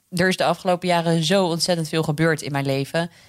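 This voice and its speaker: A woman with a plain, everyday voice, fairly low in pitch and fairly even in intonation, on a very clean recording with a silent background. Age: 20s. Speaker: radio presenter and author. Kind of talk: interview.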